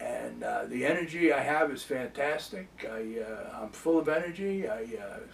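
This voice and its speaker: A man's lively intonation comes through noticeable background noise as he talks fairly slowly. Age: 80s+. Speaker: small business owner. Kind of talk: testimony. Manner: halting.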